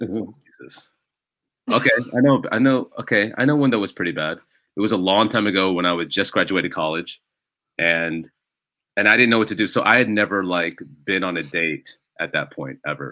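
A man with an American accent speaks at a fairly quick pace in a fairly low voice, his bright, sharp tone animated and his intonation lively, broken by long, frequent pauses. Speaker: stand-up comedian. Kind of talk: casual chat, interview. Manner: animated, joking.

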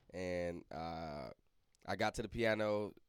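This speaker has a St. Louis accent. The intonation stays fairly even. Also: man. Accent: St. Louis Midwestern American. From St. Louis, Missouri. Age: 20s. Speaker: recording music artist. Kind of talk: casual chat.

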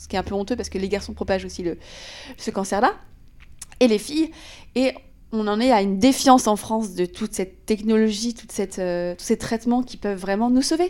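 A woman's fairly high voice at a fairly quick pace, with ordinary pitch variation and long, frequent pauses. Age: 30s. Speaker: podcast host. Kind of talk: casual interview.

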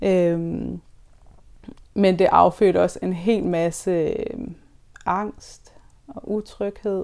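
Long, frequent pauses fill this woman's speech, which moves at a very slow pace. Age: 30s. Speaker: birth worker. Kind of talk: interview about personal experience. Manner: halting, many fillers.

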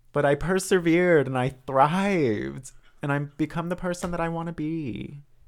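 A man with an unremarkable speaking voice, pitched fairly high with ordinary pitch variation, speaks at a moderate pace. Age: 20s. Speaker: podcast co-host. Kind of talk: casual chat.

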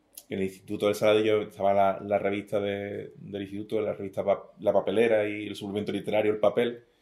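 A man's fairly low, monotone, flat voice at a fairly quick pace. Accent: Andalusian. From southern Spain, Algeciras. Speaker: poet. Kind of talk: interview.

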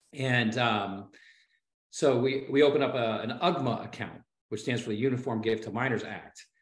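Moderate pace and fairly even intonation in a Midwestern American accent, with audible room echo. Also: man, medium pitch for a man. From Ohio, US Midwest. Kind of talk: casual storytelling interview.

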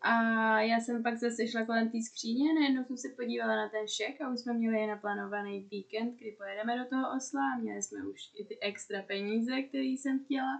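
This woman's voice sits fairly high, with ordinary pitch variation. She keeps a moderate pace with hardly any pauses. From Czech Republic. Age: 20s. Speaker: podcast co-guest, friend of host. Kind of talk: casual chat.

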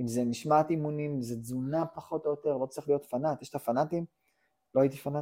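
Very fast and fairly even in intonation, a man speaks in a dark, mellow tone at a fairly high pitch for a man, on a very clean recording with a silent background. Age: 40s. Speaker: software development manager. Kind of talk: casual interview.

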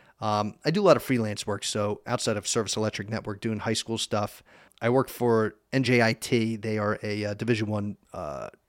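Recorded very cleanly with a silent background and a dry, close sound with no echo, a man with an American accent speaks at a moderate pace and medium pitch in an ordinary speaking voice, his intonation fairly even. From eastern Pennsylvania (Easton). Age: 30s. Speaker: sports broadcaster. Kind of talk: casual chat. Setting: studio.

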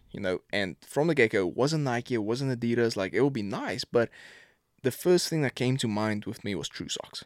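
A man with a South African accent, dry and close with no echo, on a very clean recording with a silent background. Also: medium pitch for a man, lively intonation, moderate pace. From South Africa, Pretoria. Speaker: professional football kicker. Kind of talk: casual chat.

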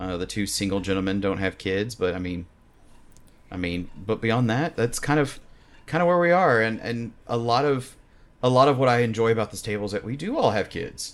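This is a man with an ordinary speaking voice at a medium pitch. His intonation is lively. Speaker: dungeon master and game company head. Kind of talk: casual chat, actual play recap. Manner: joking, playful.

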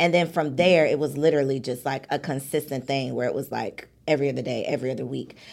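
In an American accent, a woman talks at a very fast pace with hardly any pauses, her very deep, low pitch carrying vocal fry and fairly even intonation. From Chicago suburbs, US Midwest. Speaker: entrepreneur and podcast host. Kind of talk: casual interview chat.

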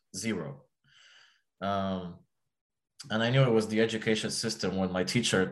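A man with an Arabic accent speaks at a fairly low pitch on a very clean recording with a silent background. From Egypt. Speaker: psychology trainee. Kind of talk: interview. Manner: halting, many fillers and repetitions.

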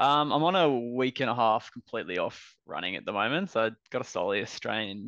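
Speaking at a fairly quick pace with an Australian accent, a man uses a medium pitch and lively intonation. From Brisbane, Australia. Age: 30s. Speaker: runner. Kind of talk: casual chat.

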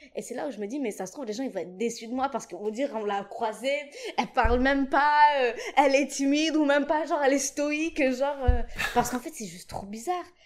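A woman speaks at a very fast pace in a high voice, with ordinary pitch variation and big swings in loudness. Noticeable background noise runs underneath. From Djibouti. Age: 20s. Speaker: singer and musician. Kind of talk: casual chat.

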